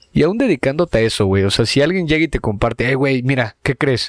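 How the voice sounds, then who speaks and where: At a fairly quick pace, a man with a medium pitch speaks in a dry, close sound with no echo. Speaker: comedy podcast co-host. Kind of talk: casual chat. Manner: animated.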